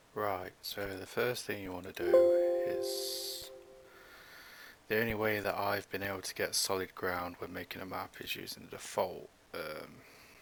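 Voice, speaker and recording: Speech moves at a moderate pace with music in the background. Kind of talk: game tutorial voice-over. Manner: casual.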